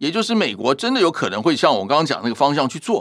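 On a very clean recording with a silent background, a fairly high-pitched man speaks with very wide pitch swings. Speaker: professor. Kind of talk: interview.

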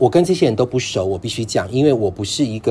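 Noticeable background noise runs through the clip. The man's voice sits at a medium pitch. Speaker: long-term HIV patient. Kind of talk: casual chat.

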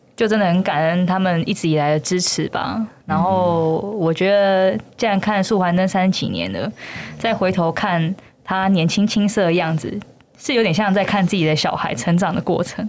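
In a normal speaking voice, a woman talks at a medium pitch and moderate pace with ordinary pitch variation. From Taiwan, Yunlin. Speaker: brand manager of a puppet theater company. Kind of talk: casual interview chat.

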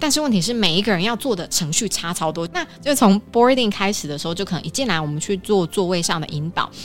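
Her medium-pitched voice moves at a very fast pace, the woman using lively intonation and hardly any pauses. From Taiwan. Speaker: former flight attendant. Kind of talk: casual interview chat.

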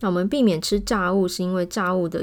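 On a very clean recording with a silent background, a woman speaks at a moderate pace in a medium pitch. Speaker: pediatrician podcast host. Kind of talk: health talk monologue. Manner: casual, many filler words.

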